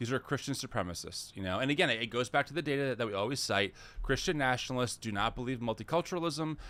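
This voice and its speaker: The man speaks at a very fast pace. His pitch is medium and varies in an ordinary way. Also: very clean recording, silent background. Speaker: podcast co-host. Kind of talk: casual chat. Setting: live stream.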